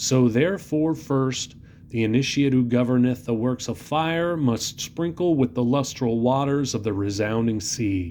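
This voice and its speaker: Speaking at a fairly slow pace, a man with a medium pitch and a dark, mellow tone uses lively intonation. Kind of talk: ritual text reading.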